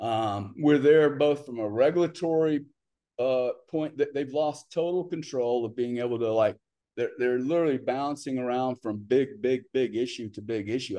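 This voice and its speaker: Against a quiet background, a man with a medium pitch and a dark, mellow tone speaks at a moderate pace with ordinary pitch variation. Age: 60s. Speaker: business investor and entrepreneur. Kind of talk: casual interview chat. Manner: talkative, informal.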